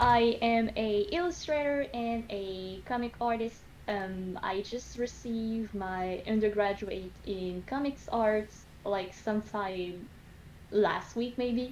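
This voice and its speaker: In a Quebec accent, a woman with a fairly high pitch talks at a very slow pace. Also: ordinary pitch variation. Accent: French Canadian accent in English. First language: French. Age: 20s. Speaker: illustrator and comic artist. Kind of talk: interview. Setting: live stream. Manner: hesitant, many fillers.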